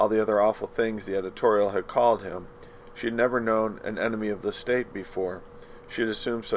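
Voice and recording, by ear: With fairly even intonation, a natural voice reads the text aloud.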